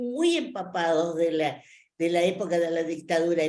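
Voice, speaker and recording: A woman's fairly slow, lively-intoned speech in a room with audible echo. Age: 80s+. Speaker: adult education student. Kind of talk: class discussion. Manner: halting.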